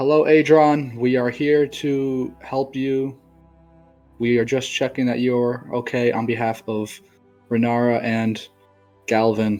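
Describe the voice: Doing a put-on character voice, a man sounds loud and booming at medium pitch, fairly slow and monotone with flat intonation, over faint music in the background.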